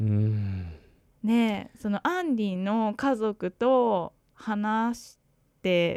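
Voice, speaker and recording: A woman speaks at a very slow pace, her loudness swinging widely. The sound is dry and close with no echo, very clean, over a silent background. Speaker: podcast co-host, English learner. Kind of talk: casual chat.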